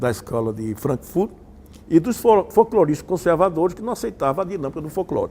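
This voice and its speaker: Pitch swings very widely as a man talks. His speed is moderate. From Patos, Paraíba, Brazil. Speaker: communication researcher, university professor. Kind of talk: interview answer.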